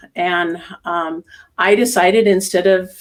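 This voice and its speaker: Speaking at a fairly slow pace, a woman uses an ordinary speaking voice at a medium pitch. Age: 60s. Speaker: tai chi instructor. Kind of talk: interview.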